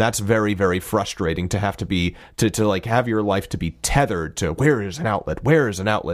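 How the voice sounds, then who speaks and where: The recording is very clean, with a silent background, as a man with an unremarkable speaking voice talks at a fairly quick pace. His pitch is fairly low, his pitch variation ordinary, and there are hardly any pauses. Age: 30s. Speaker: podcast guest, voice performer. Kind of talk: casual chat.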